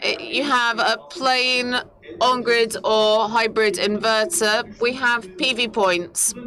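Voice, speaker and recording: Against noticeable background noise, a woman with a fairly high pitch speaks very slowly, her loudness very even and her pitch varying in an ordinary way. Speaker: company representative presenting products. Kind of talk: conference presentation. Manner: hesitant, many fillers.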